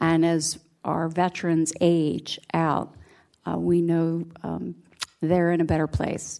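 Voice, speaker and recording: At a very slow pace, a woman with a fairly low pitch speaks in a dark, mellow tone with monotone, flat intonation. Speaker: city councilmember. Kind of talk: council meeting report. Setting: council chambers.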